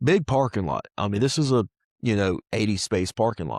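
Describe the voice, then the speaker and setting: With a Southern US accent, a man talks at a fairly quick pace with lively intonation, heard in a dry, close sound with no echo on a very clean recording with a silent background. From US South, Mississippi. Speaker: pressure washing business owner. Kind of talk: testimony. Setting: studio. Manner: animated.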